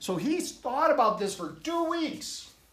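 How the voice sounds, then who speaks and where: Very wide pitch swings from a man, with audible room echo. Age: 60s. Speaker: minister. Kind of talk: sermon.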